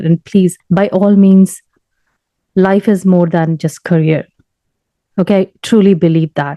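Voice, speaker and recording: At a moderate pace and medium pitch, a woman speaks in a plain, everyday voice. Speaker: software tester. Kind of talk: casual talk to camera.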